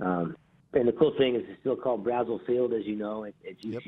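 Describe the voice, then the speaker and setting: A man talks at a fairly quick pace in an unremarkable speaking voice. His intonation is fairly even. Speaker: college baseball coach. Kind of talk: interview.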